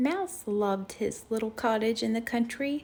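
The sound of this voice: An unforced reading voice carries the words. Its pitch varies in an ordinary way.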